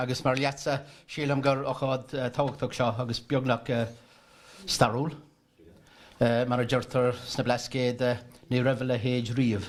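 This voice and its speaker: Speaking in a Kerry accent, a man keeps a moderate pace and a medium pitch with fairly even intonation. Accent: Irish, Kerry. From Ireland. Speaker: festival chairman. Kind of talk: speech at book launch.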